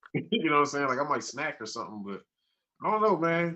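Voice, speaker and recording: The speaker has an American accent. Their pitch swings very widely. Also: man. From US Midwest (Cleveland, Ohio). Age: 40s. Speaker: comedian and rapper. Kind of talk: casual interview chat.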